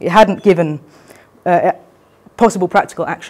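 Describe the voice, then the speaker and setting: At a fairly quick pace, a woman speaks in a medium pitch with lively intonation. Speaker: teacher giving a talk. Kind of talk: prepared talk read from a script. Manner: fast.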